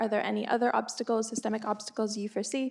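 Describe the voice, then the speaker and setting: A woman speaks at a very fast pace. Her fairly high-pitched voice has monotone, flat intonation. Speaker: journalist. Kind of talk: audience question. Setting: conference audience with roving mic.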